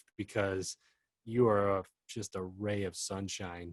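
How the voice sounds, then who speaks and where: A man with an ordinary speaking voice talks at a fairly low pitch with fairly even intonation, the sound dry and close with no echo against a quiet background. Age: 30s. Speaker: singer-songwriter. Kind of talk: casual chat.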